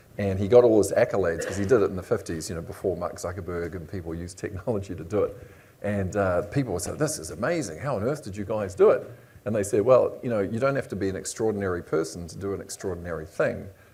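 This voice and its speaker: A man in a New Zealand accent, fairly low and somewhat breathy, with a dark, mellow tone, a very fast pace and big swings in loudness. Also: ordinary pitch variation. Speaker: panel moderator. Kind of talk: panel discussion.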